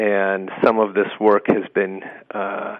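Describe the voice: The speech is slow and monotone, with flat intonation and vocal fry. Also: man, fairly low pitch for a man.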